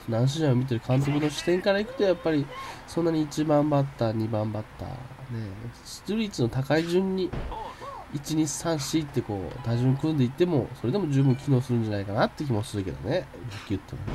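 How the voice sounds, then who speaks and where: A man's fairly high, lively voice races at a very fast pace through noticeable background noise. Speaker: game commentator. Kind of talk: casual let's-play commentary.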